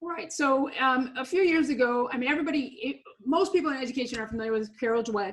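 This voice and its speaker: A woman's voice at a fairly quick pace, with ordinary pitch variation. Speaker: motivational speaker and after-school educator. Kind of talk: webinar interview. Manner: loud; energetic.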